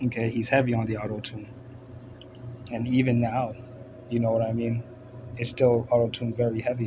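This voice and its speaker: Noticeable background noise surrounds a man talking at medium pitch in a flat, monotone delivery. His pace is fairly quick, yet he takes long, frequent pauses. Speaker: religious commentator. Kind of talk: casual monologue. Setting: bedroom at night. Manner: casual, filler-heavy.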